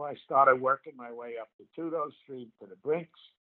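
Moderate pace and ordinary pitch variation. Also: man. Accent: New York. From New York City (Inwood, Manhattan). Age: 70s. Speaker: war veteran and author. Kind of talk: interview storytelling.

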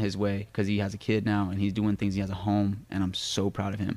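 A man with a fairly low pitch keeps a moderate pace, captured on a very clean recording against a silent background. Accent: American. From US West, Las Vegas. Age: 20s. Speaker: dancer. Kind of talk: casual chat. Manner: animated.

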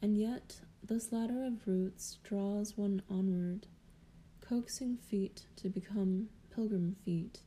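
Her speech comes at a very slow pace, medium in pitch and somewhat breathy. This woman's dark, mellow tone holds fairly even intonation. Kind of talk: poetry reading, solemn devotional verse read aloud. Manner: slow, measured, contemplative.

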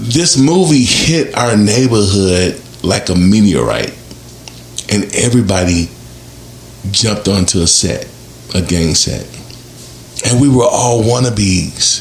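Over noticeable background noise, a man with a fairly low pitch talks at a fairly slow pace in an animated tone, his intonation lively, his loudness very even, and his pauses long and frequent. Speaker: podcast host. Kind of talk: panel discussion.

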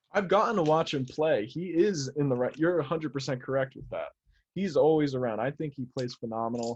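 Speaking at a moderate pace with an American accent, this man has an ordinary speaking voice, a fairly high pitch and ordinary pitch variation. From Central New Jersey. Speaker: fan social media page runner. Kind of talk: casual chat.

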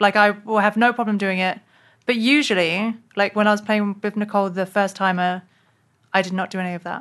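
A woman with a London accent at a medium pitch and a fairly quick pace, with fairly even intonation over a quiet background. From London, England. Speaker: actress and comedian. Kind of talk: casual interview.

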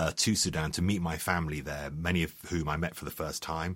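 Recorded very cleanly against a silent background, a man with a London accent speaks at a moderate pace. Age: 50s. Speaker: journalist and author. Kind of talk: interview. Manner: halting.

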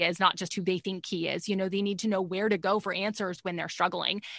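A woman speaks with an American accent at a medium pitch. Her intonation is monotone and flat against a quiet background. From Texas. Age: 30s. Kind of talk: interview testimony.

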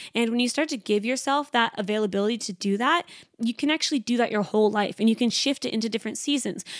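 A woman's high, animated voice at a fairly quick pace, with ordinary pitch variation, in a very clean recording with a silent background. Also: dry, close sound with no echo. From Canada. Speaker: podcast host and trainee Pilates instructor. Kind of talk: casual solo chat. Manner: fast talker; animated, chatty.

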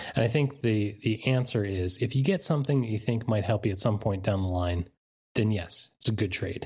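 This man has a plain, everyday voice with an American accent, a medium pitch and ordinary pitch variation. He talks at a moderate pace over a quiet background. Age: 30s. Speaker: baseball blogger. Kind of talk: casual podcast interview.

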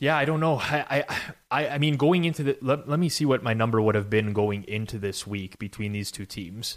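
A man in a normal speaking voice talks at a fairly quick pace and medium pitch, with lively intonation. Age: 30s. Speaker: sports betting podcast host. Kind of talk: casual sports betting analysis chat.

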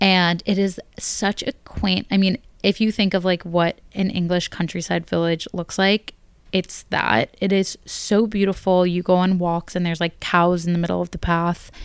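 Very clean and silent in the background, the recording has a woman with an American accent at a medium pitch and moderate pace. Her intonation stays fairly even. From US. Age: 20s. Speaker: podcast host. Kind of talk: casual solo chat.

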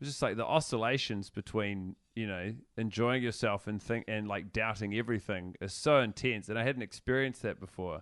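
With a New Zealand accent, a man talks at a fairly quick pace with hardly any pauses, using fairly low pitch and fairly even intonation against a quiet background. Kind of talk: casual chat. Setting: video call.

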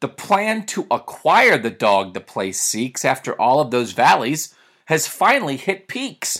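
A man speaks at a fairly slow pace with a fairly high pitch, vocal fry and very wide pitch swings. The recording is very clean, with a silent background. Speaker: radio and podcast host, sports commentator. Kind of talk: scripted children's story read aloud in rhyming verse.

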